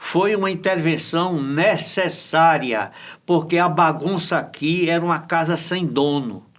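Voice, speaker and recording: Over noticeable background noise, a man talks at a fairly slow pace. His high pitch shows ordinary variation. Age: 80s+. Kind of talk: interview.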